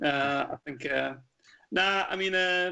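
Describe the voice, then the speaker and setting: A bright, sharp tone with a Scottish accent. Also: man. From Scottish Highlands. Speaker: Americana musician. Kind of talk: radio interview. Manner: halting, many fillers.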